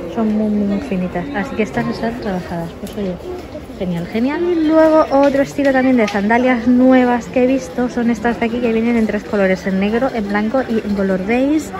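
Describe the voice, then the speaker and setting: With noticeable background noise behind her, a woman talks at a moderate pace with ordinary pitch variation. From Spain. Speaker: fashion vlogger. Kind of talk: shopping haul vlog. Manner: animated. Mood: enthusiastic, upbeat. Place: shop. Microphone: phone near.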